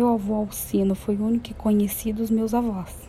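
A woman with a fairly high pitch and fairly even intonation has an ordinary speaking voice. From Brazil, interior of Minas Gerais. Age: 30s. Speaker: single mother and university student. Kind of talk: personal testimony, read aloud.

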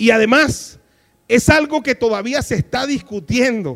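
In an animated tone, a man talks with ordinary pitch variation. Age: 40s. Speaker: pastor. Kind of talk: sermon.

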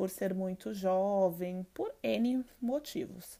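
Her tone dark and mellow, a woman talks at a medium pitch. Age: 20s. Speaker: podcast host. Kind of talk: solo podcast monologue. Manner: casual, relaxed.

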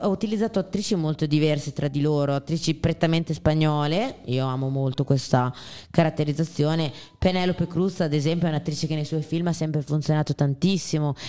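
Her voice very deep and low, with a dark, mellow tone, a woman speaks at a fairly quick pace with fairly even intonation on a very clean recording with a silent background. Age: 30s. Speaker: podcast host. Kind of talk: casual chat about film.

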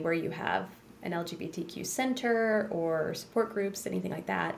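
A woman talks fairly slowly in a normal speaking voice, her pitch varying in an ordinary way. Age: 40s. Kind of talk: casual interview conversation.

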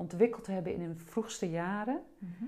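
The woman's tone is dark and mellow. Her pitch varies in an ordinary way. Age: 50s. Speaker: body-oriented psychotherapist and trainer. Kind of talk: interview conversation.

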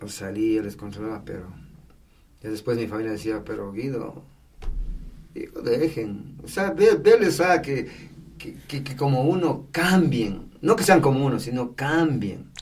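In a room with audible echo, a man with a medium pitch and a somewhat breathy voice speaks at a fairly slow pace, with lively intonation and big swings in loudness. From Ecuador, Tungurahua (Patate). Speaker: firefighter and Red Cross volunteer. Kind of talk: casual interview, life story.

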